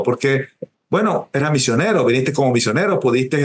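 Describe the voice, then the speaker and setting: Fairly quick delivery from a man, medium pitch, a normal speaking voice. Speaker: writer, interviewer. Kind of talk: interview questions.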